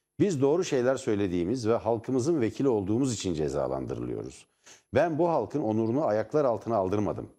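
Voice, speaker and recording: With vocal fry and a dark, mellow tone, a man speaks at medium pitch and a very fast pace, his pitch swinging very widely. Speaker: TV news commentary host. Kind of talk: political talk show commentary. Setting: TV studio.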